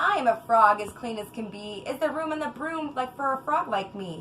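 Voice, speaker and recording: Doing a croaky put-on character voice, a woman speaks at a high pitch and moderate pace over clear background noise. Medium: read story.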